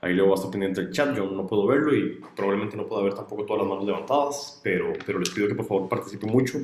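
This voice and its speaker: A man talks at a very fast pace with hardly any pauses, his fairly low voice showing ordinary pitch variation. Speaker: student workshop instructor. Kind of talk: online workshop lecture. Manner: fast when excited; hesitant fillers.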